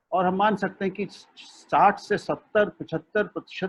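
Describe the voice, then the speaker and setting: A man with a Punjabi accent and a high pitch. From India, Lucknow. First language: Punjabi (speaking Hindi). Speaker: media expert and language thinker. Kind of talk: web seminar talk. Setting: video call.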